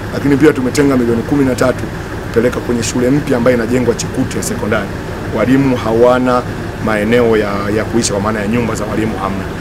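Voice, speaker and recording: Noticeable background noise sits under a man talking at a very fast pace. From Tanzania. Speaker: member of parliament. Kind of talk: press statement. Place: street.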